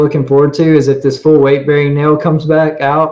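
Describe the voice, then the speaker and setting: A man speaks at a moderate pace in a fairly high voice, his intonation flat and monotone. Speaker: limb lengthening patient. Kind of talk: casual panel discussion. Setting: video call.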